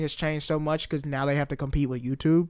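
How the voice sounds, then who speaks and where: A man's normal speaking voice, fairly high in pitch and at a fairly quick pace, on a very clean recording with a silent background. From US South. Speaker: comedian. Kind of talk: casual chat.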